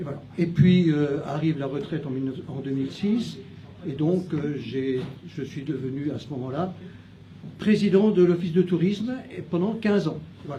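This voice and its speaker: A man's fairly high voice with ordinary pitch variation and big swings in loudness, at a moderate pace, with audible room echo and noticeable background noise. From France, Châlons-en-Champagne (Champagne). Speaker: retired teacher, municipal candidate. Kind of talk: candidate self-introduction. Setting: restaurant, live event. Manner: halting, many hesitations.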